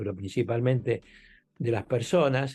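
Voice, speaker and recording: A man speaks in a dark, mellow tone at a medium pitch. The background is quiet. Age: 80s+. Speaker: law professor. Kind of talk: interview. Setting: podcast recording.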